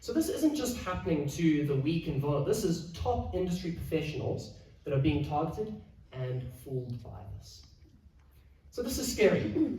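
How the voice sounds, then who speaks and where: A man's fairly high, dark, mellow voice with vocal fry, very wide pitch swings, big swings in loudness and audible room echo. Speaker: financial adviser. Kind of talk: presentation. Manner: fast.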